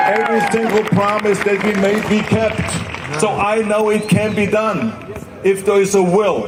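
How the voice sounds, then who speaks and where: A man speaks in a high, monotone voice with flat intonation. His loudness stays very even as a crowd murmurs in the background. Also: moderate pace. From Austria. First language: German. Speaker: former politician and actor. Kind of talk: public speech at a climate rally. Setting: outdoors.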